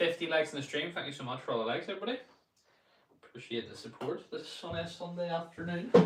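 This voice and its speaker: Speaking very fast, a man with a Northern Irish accent uses lively intonation. His pitch is high. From Northern Ireland. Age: 20s. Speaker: golf streamer. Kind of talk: casual live stream chat.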